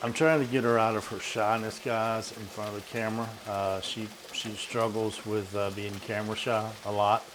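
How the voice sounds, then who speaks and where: A man with a Southern US accent talks at a moderate pace in a fairly low, flat monotone, with hardly any pauses, audible room echo and noticeable background noise. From US South. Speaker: vlogger. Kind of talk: casual chat.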